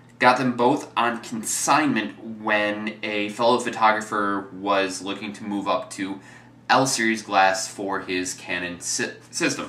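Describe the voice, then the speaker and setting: A man with an American accent speaks at a fairly slow pace in a fairly low pitch, his intonation fairly even. Noticeable background noise and audible room echo fill the recording. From US Midwest. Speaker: photography vlogger. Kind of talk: gear review tutorial. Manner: casual with fillers and repetitions.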